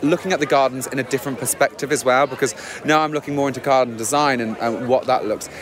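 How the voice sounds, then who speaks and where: Over noticeable background noise, a man speaks very fast in a fairly high voice. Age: 20s. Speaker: drag queen gardener. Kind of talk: interview. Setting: outdoors at flower show. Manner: animated.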